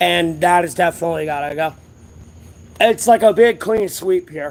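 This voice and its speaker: Loud and with a high pitch, a man speaks with ordinary pitch variation. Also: moderate pace. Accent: American. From US South. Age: 30s. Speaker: homeless livestreamer. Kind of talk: casual livestream chat. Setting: outdoors at a closed strip mall.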